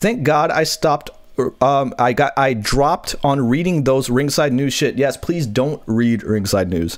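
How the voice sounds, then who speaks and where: Speaking at a fairly slow pace with a fairly high pitch, a man sounds animated, his intonation lively and his loudness very even. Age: 30s. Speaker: wrestling podcast host. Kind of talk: casual chat. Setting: live stream with chat.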